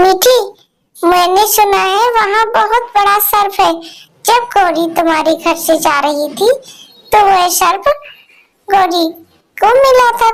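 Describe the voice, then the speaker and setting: A woman does a cartoonish character voice at an extremely high pitch. She goes at a fairly slow pace with long, frequent pauses. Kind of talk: kids' cartoon voicing. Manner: kindly, motherly.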